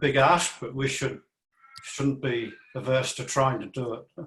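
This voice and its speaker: With an Australian accent, a man speaks at a medium pitch and a fairly slow pace. His intonation is monotone and flat. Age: 60s. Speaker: panel participant. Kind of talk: panel discussion. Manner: halting.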